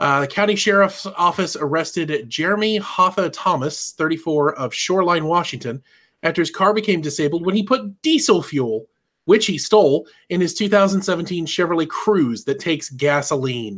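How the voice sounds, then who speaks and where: On a very clean recording with a silent background, a man speaks at a high pitch with lively intonation. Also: moderate pace. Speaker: podcast co-host. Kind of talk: casual banter.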